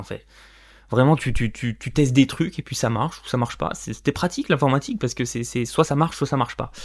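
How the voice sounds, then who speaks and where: Over a silent background in a very clean recording, a man talks very fast. His pitch is medium, with ordinary variation. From France, Corrèze (Limousin). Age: 20s. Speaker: podcast host, freelancer. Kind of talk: solo monologue, personal story. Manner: unscripted, some stumbling.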